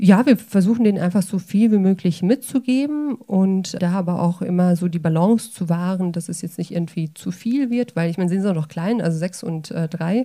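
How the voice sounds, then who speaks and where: A woman's dark, mellow voice at medium pitch, moderate in pace, with ordinary pitch variation and hardly any pauses. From Sauerland, Germany. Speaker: panel guest. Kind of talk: panel discussion.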